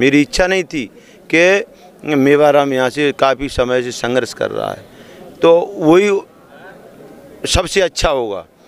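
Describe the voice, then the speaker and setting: A man speaks at a fairly high pitch with ordinary pitch variation, leaving long, frequent pauses. Noticeable background noise is present. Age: 50s. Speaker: election candidate. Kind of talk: interview.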